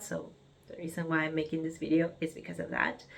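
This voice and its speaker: A woman speaks with an Argentine accent. Her pitch is fairly low. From Argentina, Buenos Aires. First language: Spanish. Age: 30s. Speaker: vlogger. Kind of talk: personal vlog monologue. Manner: halting, with fillers and restarts.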